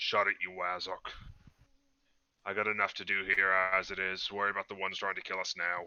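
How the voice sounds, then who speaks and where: A man puts on a gruff, raspy character voice with a very deep, low pitch and monotone, flat intonation. He moves at a fairly quick pace but leaves long, frequent pauses. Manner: curt, irritated.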